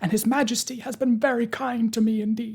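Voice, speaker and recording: A man speaks in a put-on character voice pitched extremely high, at a fairly quick pace. His intonation stays monotone and flat. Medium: read story. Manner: simple, innocent.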